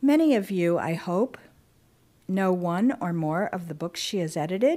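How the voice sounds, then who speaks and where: A woman's medium-pitched voice with a dark, mellow tone, lively intonation and a fairly slow pace, in a very clean recording with a silent background. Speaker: university librarian and dean. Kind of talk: welcome and introduction.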